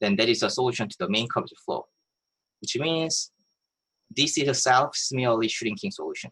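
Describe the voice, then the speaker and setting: A man talks at a fairly quick pace. His speech is broken by long, frequent pauses. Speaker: mathematics professor. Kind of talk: lecture. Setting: video call.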